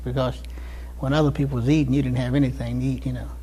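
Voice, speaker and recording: Audible room echo colors a voice with an American accent. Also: man. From Cincinnati, Ohio. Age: 70s. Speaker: war veteran. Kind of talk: oral history interview. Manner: halting, with many fillers.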